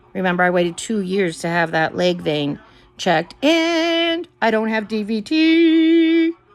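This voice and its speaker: A woman at a fairly high pitch, fairly slow and animated, with very wide pitch swings and music in the background. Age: 60s. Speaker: vlogger. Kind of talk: casual chat.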